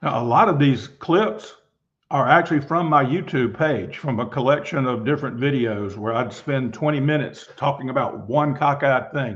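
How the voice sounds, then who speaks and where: A man speaks in a normal speaking voice at a moderate pace, his fairly high pitch moving with ordinary variation. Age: 60s. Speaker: football coach. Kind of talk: lecture.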